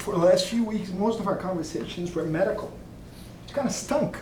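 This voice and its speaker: Amid noticeable background noise and audible room echo, a man with a Portuguese accent speaks at a high pitch. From Brazil. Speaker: doctor. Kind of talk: memorial tribute speech.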